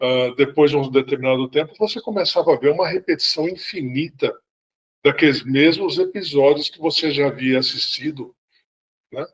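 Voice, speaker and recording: The pace of this man's speech is moderate. Ordinary pitch variation runs through it. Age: 60s. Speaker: sci-fi fan club member. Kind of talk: casual chat. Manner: halting, many repetitions.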